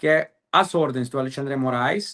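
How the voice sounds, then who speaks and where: The sound is dry and close, with no echo, over a quiet background. Pitch varies in an ordinary way at a moderate pace. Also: man. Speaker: lawyer. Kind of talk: interview. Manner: halting, many fillers.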